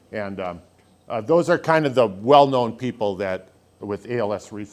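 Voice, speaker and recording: A man speaks with an American accent. His pace is moderate and his intonation lively. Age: 60s. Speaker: speaker living with ALS. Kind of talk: public talk. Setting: church hall with audience. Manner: halting.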